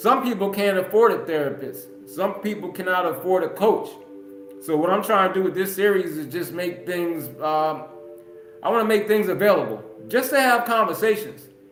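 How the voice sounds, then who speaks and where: A loud man with a high pitch and an energetic tone at a moderate pace, ordinary pitch variation, audible room echo and music in the background. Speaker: podcast host. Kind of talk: solo livestream monologue. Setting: live stream.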